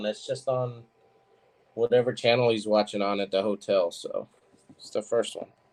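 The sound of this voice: At a moderate pace, a man talks in a fairly low, slightly mellow voice. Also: fairly even intonation.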